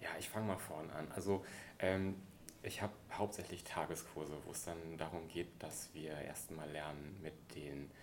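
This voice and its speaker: In a room with audible echo, a man with a very deep, low voice talks at a moderate pace with fairly even intonation. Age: 30s. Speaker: archaeologist and wilderness educator. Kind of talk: interview conversation.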